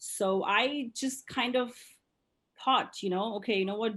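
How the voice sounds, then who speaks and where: A woman speaks at a moderate pace with a fairly high pitch and an Indian accent. The background is quiet. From India, moved to US at 10. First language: Indian language. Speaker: dance studio owner. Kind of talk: interview. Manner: hesitant, many fillers.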